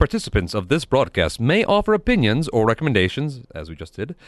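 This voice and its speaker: Vocal fry runs through this man's speech, and his pitch swings very widely. He talks at a fairly quick pace against a quiet background. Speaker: guest tech geek. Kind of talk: casual radio chat. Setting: radio studio.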